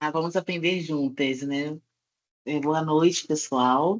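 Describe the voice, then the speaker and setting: With a Rio de Janeiro accent, a woman speaks at a fairly slow pace in a very deep, low voice, the sound dry and close with no echo. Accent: carioca (Rio de Janeiro). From Brazil, Rio de Janeiro. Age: 30s. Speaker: nutritionist, workshop speaker. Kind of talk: online workshop talk.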